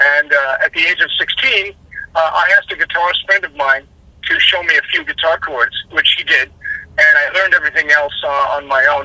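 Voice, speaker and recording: Talking at a fairly quick pace, a man has a Californian accent. The sound is dry and close with no echo, though background noise is noticeable. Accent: Californian American. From Los Angeles, US. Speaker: rock singer. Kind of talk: interview.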